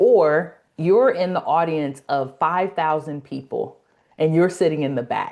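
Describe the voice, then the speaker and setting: A woman with a Los Angeles accent, fairly low in pitch with a dark, mellow tone, ordinary pitch variation and a moderate pace, against a quiet background. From US West Coast, South Central Los Angeles. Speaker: speaking coach, academy founder. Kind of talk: casual interview on a live webinar.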